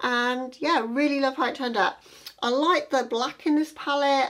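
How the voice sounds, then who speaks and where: A woman at a moderate pace over a quiet background. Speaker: beauty vlogger. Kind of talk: tutorial. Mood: upbeat, pleased. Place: home room.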